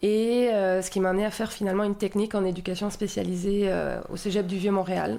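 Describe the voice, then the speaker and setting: A woman talks at a fairly quick pace with hardly any pauses. Her intonation is monotone and flat, and her tone is dark and mellow. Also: medium pitch for a woman, very even loudness. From southern France, Marseille region. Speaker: municipal community life coordinator. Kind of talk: podcast interview. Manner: hesitant, many fillers.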